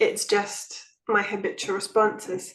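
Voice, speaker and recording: A woman's fairly high voice with an English accent and fairly even intonation. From England. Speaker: nonduality teacher. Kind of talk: spiritual group talk.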